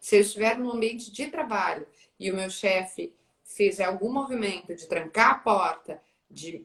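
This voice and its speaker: In a plain, everyday voice, a woman speaks at a moderate pace and medium pitch, with ordinary pitch variation and big swings in loudness. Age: 30s. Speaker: journalist. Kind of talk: live interview conversation.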